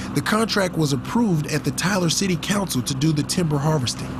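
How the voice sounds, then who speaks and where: A high-pitched man at a fairly quick pace, with ordinary pitch variation, over noticeable background noise. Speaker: TV news reporter. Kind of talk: TV news report.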